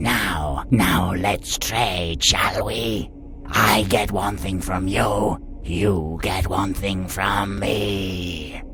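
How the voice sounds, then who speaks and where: Over loud background music, a man puts on a character voice, speaking very slowly at a very deep, low pitch. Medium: read story. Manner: muttering, suspicious.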